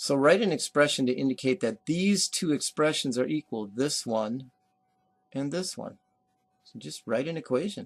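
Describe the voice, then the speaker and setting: In an ordinary speaking voice, a man with a fairly high pitch talks at a moderate pace with lively intonation and big swings in loudness, the sound dry and close with no echo. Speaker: math teacher. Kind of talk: recorded lecture. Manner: casual.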